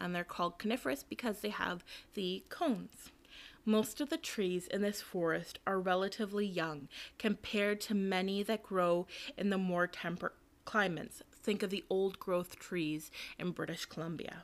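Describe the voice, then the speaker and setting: A woman speaks at a moderate pace in an unremarkable speaking voice with ordinary pitch variation, on a very clean recording with a silent background. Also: medium pitch for a woman. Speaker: museum collections assistant. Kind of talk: scripted museum tour narration, reading factual information aloud. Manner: formal, even, lecture-like and informative.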